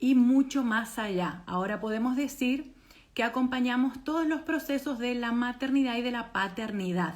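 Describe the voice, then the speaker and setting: With an Argentine accent, a woman speaks at a fairly slow pace in a fairly high pitch. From Argentina. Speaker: doula trainer. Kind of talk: online presentation.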